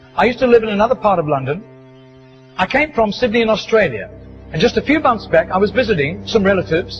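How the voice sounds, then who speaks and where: With music behind him, a man rattles along at a very fast pace, his pitch swinging very widely. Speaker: preacher telling a story. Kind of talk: sermon anecdote, storytelling to an audience.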